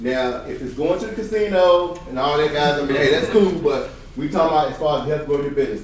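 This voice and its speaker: A fairly high-pitched man talks at a fairly quick pace with ordinary pitch variation, amid noticeable background noise and audible room echo. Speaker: real estate coach / event speaker. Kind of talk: seminar talk. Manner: fast; animated.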